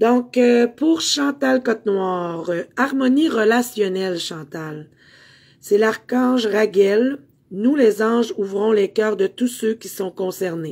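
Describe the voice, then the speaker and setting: Her pace is very slow. The woman's intonation comes across as lively. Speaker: spiritual medium and meditation teacher. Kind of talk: card reading for live viewers. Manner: hesitant, many fillers.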